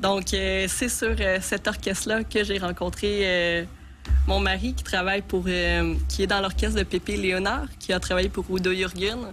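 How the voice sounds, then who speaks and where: Music plays in the background as a woman talks at a fairly slow pace. Her loudness stays very even. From Quebec. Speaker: circus acrobat and company founder. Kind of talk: TV interview. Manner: hesitant, many fillers.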